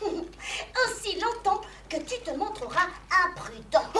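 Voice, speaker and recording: Clear background noise sits behind a cartoonish character voice at an extremely high pitch, moving at a fairly slow pace. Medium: puppet. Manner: calm, instructive.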